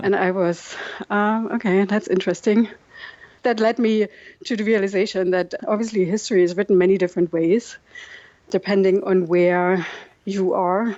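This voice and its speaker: Speaking with a German accent, a woman uses a medium pitch and fairly even intonation at a moderate pace, with long, frequent pauses. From East Germany, Dresden area. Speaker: documentary filmmaker. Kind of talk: interview. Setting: video call.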